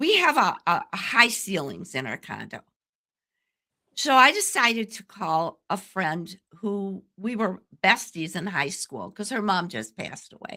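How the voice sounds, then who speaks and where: A woman with a medium pitch and a bright, sharp tone speaks fairly slowly with vocal fry, very wide pitch swings and big jumps in loudness. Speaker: communication coach, podcast host. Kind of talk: interview conversation.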